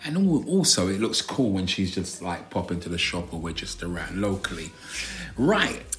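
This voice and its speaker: With noticeable background noise around him, a man speaks at a moderate pace. His very deep, low voice carries lively intonation. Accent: South London. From South London. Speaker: podcast co-host. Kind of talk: casual chat.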